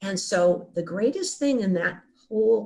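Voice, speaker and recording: With vocal fry, a woman speaks at a very slow pace, her medium pitch moving in very wide swings. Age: 70s. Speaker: near-death experience survivor. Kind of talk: interview. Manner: halting.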